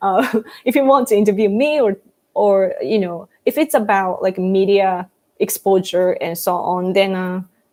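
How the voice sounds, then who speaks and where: A dark, mellow tone comes through. It belongs to a woman speaking at medium pitch. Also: ordinary pitch variation, fairly slow pace. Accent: Japanese. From Japan, Fukuoka. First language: Japanese. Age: 30s. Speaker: YouTuber. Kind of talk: live stream Q&A reading chat. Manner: casual, animated.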